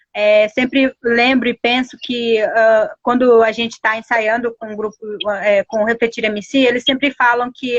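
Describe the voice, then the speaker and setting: A woman with a Paraguayan accent and fairly even intonation. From Guarani Kaiowá village, Mato Grosso do Sul, Brazil. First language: Guarani (speaking Portuguese). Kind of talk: interview. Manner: halting, many fillers.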